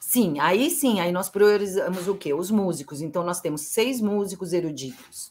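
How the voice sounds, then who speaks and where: A woman's unremarkable speaking voice at a medium pitch, moderate in pace, with lively intonation and hardly any pauses. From São José do Rio Preto, interior of São Paulo state, Brazil; São Paulo, Brazil. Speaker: playwright and actress; actress. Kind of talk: interview. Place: home room.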